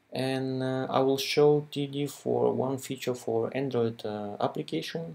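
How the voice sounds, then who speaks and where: A man with a non-native accent, medium-pitched, his pitch rising and falling in an ordinary way. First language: not English. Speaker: software developer. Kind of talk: tutorial. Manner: halting, many fillers.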